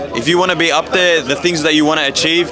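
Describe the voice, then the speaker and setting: Someone talks at a very fast pace with an Australian accent over noticeable background noise and audible room echo. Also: man. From Melbourne, Australia. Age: 20s. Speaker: food review content creator. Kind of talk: street interview. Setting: event, in public.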